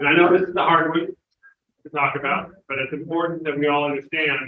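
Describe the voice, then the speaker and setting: A man speaks with a fairly high pitch. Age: 60s. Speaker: Rotary district governor. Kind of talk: club talk to members.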